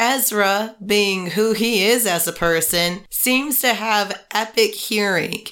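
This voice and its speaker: In a normal speaking voice, a woman talks at a fairly slow pace with ordinary pitch variation. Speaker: podcast co-host. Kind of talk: casual chat.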